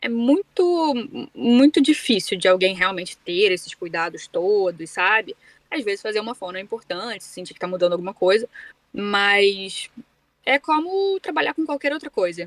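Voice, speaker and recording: A woman at a fairly high pitch and a moderate pace, with very wide pitch swings, in a dry, close sound with no echo. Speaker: voice actress. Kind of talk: casual interview chat.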